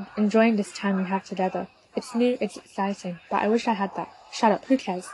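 The text is read in a natural reading voice. The intonation stays fairly even.

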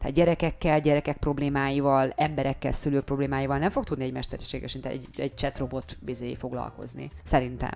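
The woman's pace is very fast. Hardly any pauses break her speech. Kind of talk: casual chat. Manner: soft-spoken.

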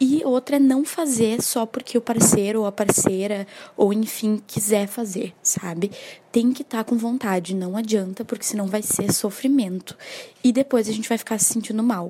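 The speaker keeps a moderate pace and ordinary pitch variation against noticeable background noise. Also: woman, fairly high pitch for a woman. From Porto Alegre, southern Brazil. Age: 20s. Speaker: listener giving testimony. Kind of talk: recorded voice message testimony.

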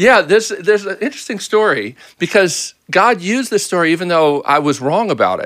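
With an American accent, a man speaks high-pitched and fairly quick, with lively intonation and hardly any pauses. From US, Baltimore. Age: 50s. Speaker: pastor. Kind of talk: casual interview.

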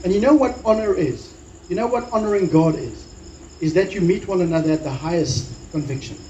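With lively intonation and a fairly quick pace, a man speaks at a high pitch. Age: 40s. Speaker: pastor. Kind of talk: sermon.

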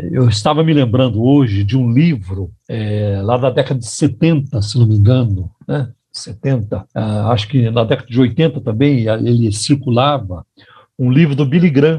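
Speaking at a fairly slow pace, a man with a medium-pitched, dark, mellow tone sounds somewhat breathy and uses ordinary pitch variation. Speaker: pastor and radio host. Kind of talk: radio sermon.

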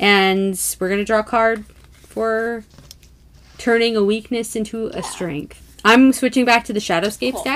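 A woman with a plain, everyday voice talks at a moderate pace, her fairly high pitch showing ordinary pitch variation. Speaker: tarot podcast co-host. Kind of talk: casual chat.

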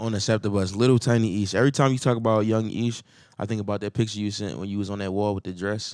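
In a very clean recording with a silent background, a man with a fairly low pitch talks at a very fast pace with fairly even intonation. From Philadelphia. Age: 30s. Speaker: podcast co-host. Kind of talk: casual chat.

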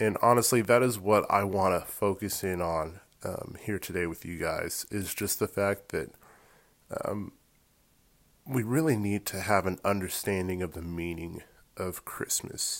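A man talks at a fairly slow pace in an American accent. His pitch moves in an ordinary way. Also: fairly low pitch for a man. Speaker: podcast co-host and editor. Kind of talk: devotional message. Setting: solo recorded voiceover.

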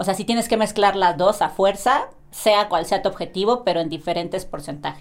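Speaking at a fairly quick pace, a woman has an unremarkable speaking voice, medium pitch and ordinary pitch variation. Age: 20s. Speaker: athlete. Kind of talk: casual chat.

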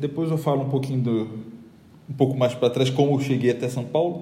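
A man speaks with a Rio de Janeiro accent amid audible room echo. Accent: carioca. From Rio de Janeiro, Brazil. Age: 30s. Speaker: graphic designer. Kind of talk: casual interview.

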